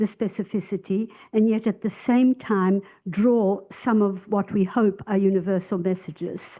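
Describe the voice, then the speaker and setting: Against a quiet background, a woman with a medium-pitched, dark, mellow tone speaks at a fairly slow pace. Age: 80s+. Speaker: audience member asking a question. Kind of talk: audience question.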